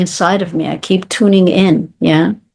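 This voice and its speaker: Speaking fairly slowly at a medium pitch, a woman has an ordinary speaking voice. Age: 50s. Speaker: spiritual workshop facilitator. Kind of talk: online live workshop. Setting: video call.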